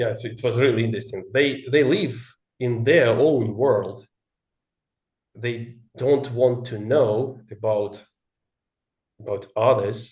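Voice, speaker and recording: A man with a Russian accent speaks at a very slow pace with long, frequent pauses, his voice somewhat breathy and his intonation fairly even, amid audible room echo. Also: medium pitch for a man. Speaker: English learner. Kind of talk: casual chat. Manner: halting.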